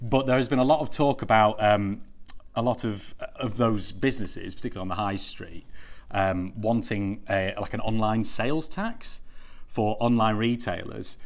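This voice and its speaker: A man with a Lancashire accent talks at a moderate pace with ordinary pitch variation. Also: medium pitch for a man. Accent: northern English (Lancashire). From Lancashire, northern England. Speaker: marketing team member, web series host. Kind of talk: casual chat. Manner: hesitant, many fillers (uh, um).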